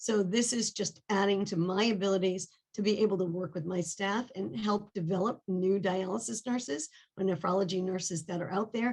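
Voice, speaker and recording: A woman with a New England accent speaks at a moderate pace in a medium pitch, her voice somewhat breathy and her pitch varying in an ordinary way. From New England, Rhode Island. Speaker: nephrology nurse, board candidate. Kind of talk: self-introduction in webinar. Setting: video call webinar.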